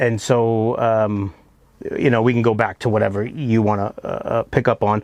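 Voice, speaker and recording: A man with an American accent, medium-pitched and monotone with flat intonation, at a moderate pace and very even loudness, in a dry, close sound with no echo. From US, Florida. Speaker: entrepreneur, cafe owner. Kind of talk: podcast interview. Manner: halting.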